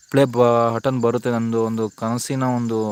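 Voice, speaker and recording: A man's voice with a dry, close sound, no echo and noticeable background noise. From Kodagu, Karnataka. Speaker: elephant camp worker and YouTuber. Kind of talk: casual live stream chat reading viewer comments.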